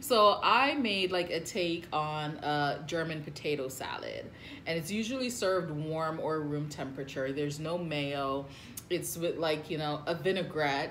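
Over light background noise, a woman speaks at a fairly slow pace with a very deep, low pitch and ordinary pitch variation. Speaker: food channel host. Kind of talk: casual vlog chat. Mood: cheerful, laughing.

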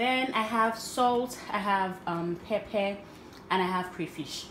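A woman's voice varies in pitch in an ordinary way while noticeable background noise carries on. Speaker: home cook vlogger. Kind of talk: cooking tutorial. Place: kitchen. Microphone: phone near.

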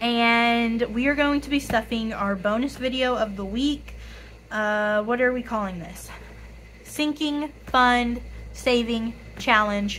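A woman with a raspy, fairly bright voice speaks at a fairly high pitch and a fairly slow pace, with ordinary pitch variation.

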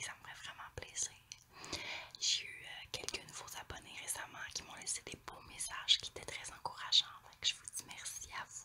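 A woman whispering at a moderate pace, with big swings in loudness, over noticeable background noise. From Quebec. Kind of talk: casual talk to camera. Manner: whispered.

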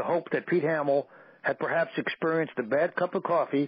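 A man with a New York accent, fairly high pitch and fairly quick pace. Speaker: radio show guest. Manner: reading aloud from his own written piece.

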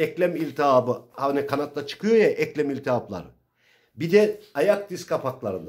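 A man speaks in an animated tone at a moderate pace, his intonation lively against a quiet background. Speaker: pigeon breeder YouTuber. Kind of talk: informal tutorial. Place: home room. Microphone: phone near.

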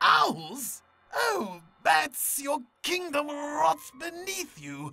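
This put-on character voice has a theatrical tone and pitch that swings very widely. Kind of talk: audio comic drama. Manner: taunting, theatrical, unhinged.

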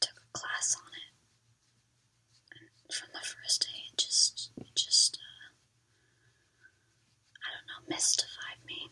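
Someone whispers very slowly, leaving long, frequent pauses. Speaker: ASMR content creator, art student. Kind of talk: ASMR whispered ramble while painting. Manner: whispered, soft-spoken.

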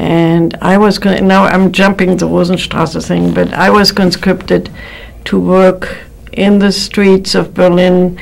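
Here a woman is speaking. Her pace is very slow. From Germany (Berlin). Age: 80s+. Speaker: piano teacher, Holocaust survivor. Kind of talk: interview answer. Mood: reflective, calm. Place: studio.

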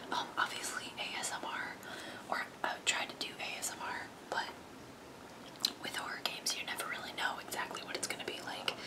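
A woman whispering at a fairly quick pace, with long, frequent pauses. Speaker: ASMR creator. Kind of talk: whispered ASMR flip-through of a magazine, casual talk to camera. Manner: whispered, soft-spoken. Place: home room. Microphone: earbuds.

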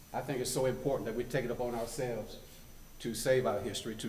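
With a western North Carolina accent, a man at medium pitch speaks at a very fast pace, with audible room echo and noticeable background noise. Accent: Southern US (western North Carolina). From US South. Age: 70s. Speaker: community elder. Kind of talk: public comment at council meeting. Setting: town council meeting room.

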